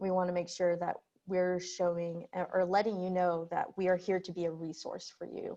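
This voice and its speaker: A woman with a normal speaking voice talks at a medium pitch and a moderate pace. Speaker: webinar host. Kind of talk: conference introduction on video call.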